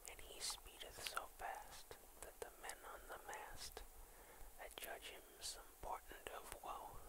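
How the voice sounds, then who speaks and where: A man is whispering. His pace is very slow. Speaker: ASMR video creator. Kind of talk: children's poetry reading. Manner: whispered, soft.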